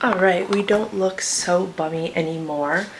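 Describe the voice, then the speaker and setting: This woman's voice sits at a medium pitch with ordinary pitch variation. She talks at a fairly slow pace. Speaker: fitness vlogger and online coach. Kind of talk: casual vlog talk. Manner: quiet.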